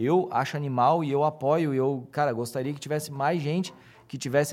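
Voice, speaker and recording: Fairly quick and with fairly even intonation, a man talks in an unremarkable speaking voice. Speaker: audiovisual producer and speaker. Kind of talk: casual interview.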